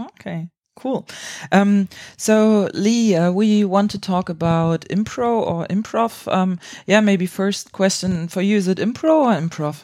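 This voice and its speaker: A woman with a German accent, medium in pitch with ordinary variation, at a fairly slow pace in a very clean recording with a silent background. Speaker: improv podcast host. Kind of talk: casual interview.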